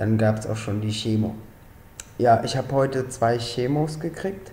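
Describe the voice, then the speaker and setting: A man is speaking with audible room echo. Light background noise sits behind him. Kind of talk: casual vlog chat. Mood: relaxed, matter-of-fact. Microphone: webcam.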